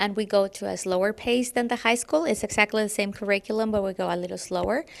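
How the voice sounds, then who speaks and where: This voice, with a Spanish accent, moves at a very fast pace with ordinary pitch variation. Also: woman, medium pitch for a woman. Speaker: middle school Spanish teacher. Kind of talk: interview. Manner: halting, with fillers.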